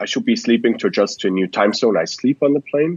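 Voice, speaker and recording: Speaking with a Swiss German accent, a man at a medium pitch sweeps through very wide pitch swings. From Switzerland. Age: 20s. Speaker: startup founder and investor. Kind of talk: podcast interview.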